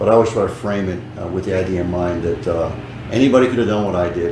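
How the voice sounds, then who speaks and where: A man with an American accent talks at a very fast pace with ordinary pitch variation. The recording carries audible room echo and noticeable background noise. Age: 60s. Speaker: businessman. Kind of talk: interview.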